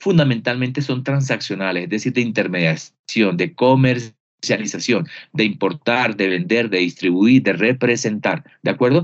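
A man's ordinary speaking voice at medium pitch, moderate pace, hardly any pauses. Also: lively intonation. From Colombia, Barranquilla (Caribbean coast). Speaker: business consultant. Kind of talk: interview.

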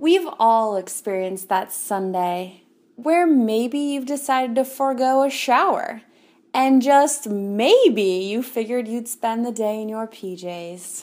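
A woman with a plain, everyday voice, fairly high in pitch, with lively intonation, a fairly slow pace and big swings in loudness, on a very clean recording with a silent background. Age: 20s. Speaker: essayist. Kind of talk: personal essay read aloud.

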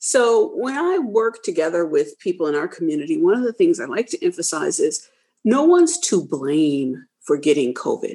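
With an American accent, a woman of fairly high pitch speaks with hardly any pauses, vocal fry, and very wide pitch swings. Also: moderate pace. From Detroit, US Midwest. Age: 50s. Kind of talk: panel discussion. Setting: online call.

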